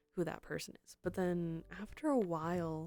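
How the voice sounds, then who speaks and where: Soft-spoken, a woman has a dark, mellow tone and ordinary pitch variation. The recording is very clean, with a silent background. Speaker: streamer. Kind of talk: casual chat. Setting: live stream. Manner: halting.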